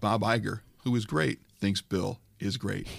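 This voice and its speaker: A man with an unremarkable speaking voice talks at a fairly slow pace with ordinary pitch variation. The recording is very clean, with a silent background. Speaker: podcast host. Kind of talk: casual comedic banter, parody review of another podcast.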